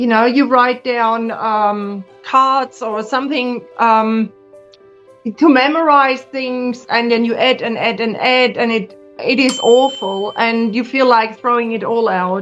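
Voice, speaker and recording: A woman talks at a very slow pace with a high pitch and fairly even intonation. Music plays in the background. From Germany. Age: 60s. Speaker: pharmacist. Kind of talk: interview answer.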